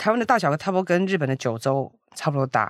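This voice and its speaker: A woman talks in a normal speaking voice, fairly low in pitch, with lively intonation. Her pace is fairly quick, and the recording is very clean with a silent background. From Taiwan. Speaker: e-commerce founder. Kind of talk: interview.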